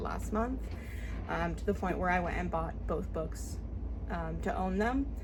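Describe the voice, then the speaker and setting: Noticeable background noise runs under the voice. Audible room echo can also be heard. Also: woman. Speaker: book reviewer. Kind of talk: casual book review vlog. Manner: fast. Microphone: poor audio quality.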